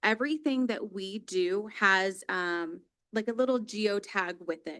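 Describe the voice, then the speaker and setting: A loud woman speaks with a bright, sharp tone at a medium pitch and a fairly slow pace. Her pitch varies in an ordinary way, and the background is quiet. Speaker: police dispatch supervisor. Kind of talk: public presentation at council meeting. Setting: city council chamber.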